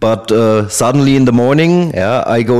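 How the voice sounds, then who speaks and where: With a German accent, a man speaks at medium pitch with ordinary pitch variation. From Germany. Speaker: ex-soldier. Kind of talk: interview answer. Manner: hesitant.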